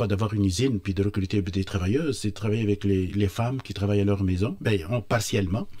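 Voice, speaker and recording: The recording is very clean with a silent background. The voice has a dark, mellow tone and sounds somewhat breathy. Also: man. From Tunisia, Tozer. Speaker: entrepreneur. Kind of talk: radio interview. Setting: studio. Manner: halting, many hesitations.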